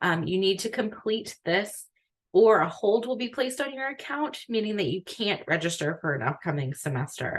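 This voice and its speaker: Soft-spoken, a woman talks at a fairly quick pace. Her pitch swings very widely. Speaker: academic advisor. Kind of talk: online orientation briefing. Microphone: too quiet for auto-captions.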